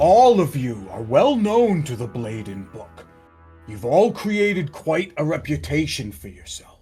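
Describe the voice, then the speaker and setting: Using a put-on character voice, a man speaks fairly slowly at a fairly high pitch with very wide pitch swings, faint music playing behind him. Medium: actual play. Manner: measured, formal.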